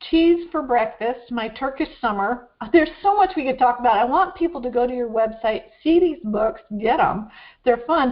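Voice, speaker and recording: Speaking at a moderate pace, a woman with a high voice uses lively intonation. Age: 60s. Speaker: talk show host. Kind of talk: interview conversation.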